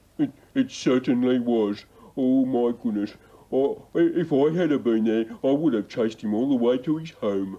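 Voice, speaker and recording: Putting on a character voice, a man keeps his pitch medium. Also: moderate pace. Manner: hesitant, stammering.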